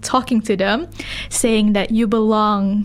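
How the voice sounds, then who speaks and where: The recording is very clean, the background silent. A woman speaks at a fairly high pitch with fairly even intonation. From Malaysia. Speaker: community radio staff member. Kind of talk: interview. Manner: halting.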